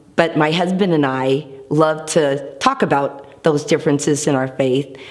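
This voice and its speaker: Spoken with an American accent, the voice holds very even loudness and fairly even intonation. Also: woman, very deep, low pitch for a woman, moderate pace. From Seattle, Washington. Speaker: hairstylist. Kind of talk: personal faith testimony.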